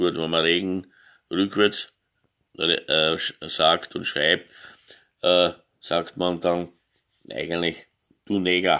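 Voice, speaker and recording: A man's very deep, low voice with a bright, sharp tone, fairly even intonation, a very slow pace and long, frequent pauses against a quiet background. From Austria. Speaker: gaming YouTuber; vlogger. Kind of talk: opinion monologue. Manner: halting, many filler sounds. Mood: indignant, emphatic at end. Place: home room. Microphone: phone near.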